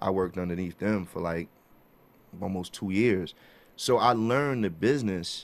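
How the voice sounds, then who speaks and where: A man speaks with a very deep, low pitch. He has a New York accent. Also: ordinary pitch variation, moderate pace. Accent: New York (Bronx). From New York City, the Bronx. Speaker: music executive and artist manager; guest. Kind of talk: interview. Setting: studio. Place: studio. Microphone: studio mic.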